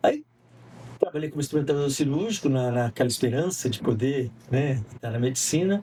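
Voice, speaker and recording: The voice is somewhat breathy with a dark, mellow tone, moving at a fairly quick pace with ordinary pitch variation and long, frequent pauses. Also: man, fairly high pitch for a man. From interior of São Paulo state, near Minas Gerais border. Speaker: communication professor and semiotics researcher. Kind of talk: podcast interview.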